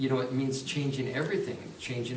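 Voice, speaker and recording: A man's medium-pitched voice at a fairly quick pace, with audible room echo and noticeable background noise. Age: 60s. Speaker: motivational speaker and author. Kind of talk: testimony. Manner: halting.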